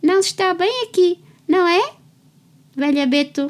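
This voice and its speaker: A woman's put-on character voice at an extremely high pitch, delivered at a moderate pace. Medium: read story.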